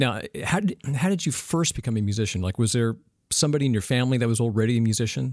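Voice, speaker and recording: The speaker rattles along at a very fast pace with lively intonation and very even loudness. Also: man, medium pitch for a man. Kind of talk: interview with ad reads.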